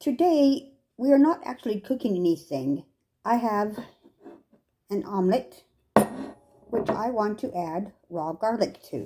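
Somewhat breathy with a dark, mellow tone, a woman speaks at a fairly slow pace. Long, frequent pauses break up her speech. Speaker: home cooking demonstrator. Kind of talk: tutorial. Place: kitchen. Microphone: phone near.

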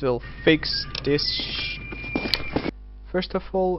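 Music plays in the background as a man speaks with a non-native accent. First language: not English. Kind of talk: game mod tutorial.

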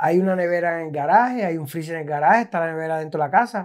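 A man speaks at a high pitch. The background is quiet. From Puerto Rico. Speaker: food content creator, chef; food content creator. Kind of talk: casual interview. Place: home room. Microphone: lapel.

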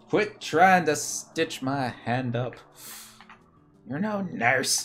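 Over music in the background, a man performs a put-on character voice, raised and projected, fairly high in pitch, with lively intonation at a very slow pace. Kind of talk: casual stream chat. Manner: yelling.

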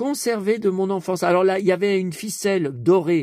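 A man's high-pitched voice, animated in tone, at a fairly slow pace, with a dry sound with no echo and a quiet background. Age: 50s. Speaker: YouTuber, collector; YouTuber. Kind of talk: casual vlog monologue. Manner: halting, repetitive stammering; animated, emotional. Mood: nostalgic, enthusiastic. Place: home room. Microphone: phone near.

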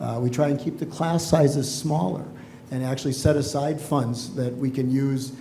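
A man speaks fairly quickly at a medium pitch with monotone, flat intonation. Audible room echo and noticeable background noise fill the recording. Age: 60s. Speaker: school board candidate. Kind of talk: candidate forum answers.

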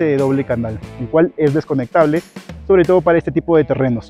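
A man's voice at a fairly quick pace with ordinary pitch variation, dry with no echo, and faint music in the background. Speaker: motorcycle travel vlogger. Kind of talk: casual vlog review. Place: open country.

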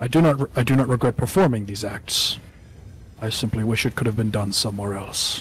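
With clear background noise behind him, a man speaks in a menacing tone at a medium pitch and a moderate pace. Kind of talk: tabletop roleplay in character. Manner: formal, cold, menacing.

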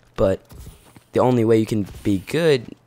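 There is noticeable background noise behind this man's fairly low voice. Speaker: gaming YouTuber. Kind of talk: casual gaming commentary.

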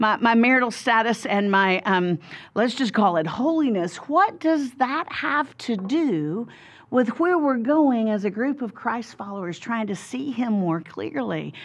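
A woman speaks fairly slowly in a Southern US accent. Her pitch swings very widely. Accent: Southern American. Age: 50s. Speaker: Bible teacher. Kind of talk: interview answer. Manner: humorous, storytelling. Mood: warm, humorous. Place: studio.

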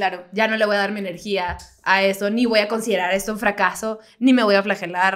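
A woman talks at a fairly quick pace in a medium pitch. Her intonation is flat and monotone, and the background is quiet. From Baja California, Mexico (Mexicali); Baja California, Mexico. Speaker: comedian; podcast co-host. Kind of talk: casual chat. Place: home room. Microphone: studio mic.

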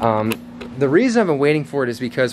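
A man talks over background noise that is easy to notice. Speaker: fitness vlogger. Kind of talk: casual vlog chat. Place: workshop. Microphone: phone near.

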